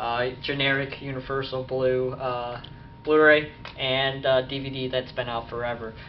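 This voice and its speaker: Audible room echo and noticeable background noise surround a man speaking at a medium pitch. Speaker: YouTube collector vlogger. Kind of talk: casual video update. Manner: fast; hesitant, many fillers.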